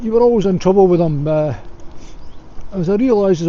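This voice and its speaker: A man with a Scottish accent talks at a very fast pace with ordinary pitch variation. Noticeable background noise is present. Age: 60s. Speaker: vlogger. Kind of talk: casual monologue to camera. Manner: hesitant with frequent fillers.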